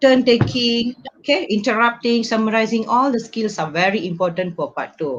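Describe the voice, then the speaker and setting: A somewhat breathy woman's voice, fairly high in pitch, with lively intonation at a moderate pace. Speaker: English teacher. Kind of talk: online lecture. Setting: live stream.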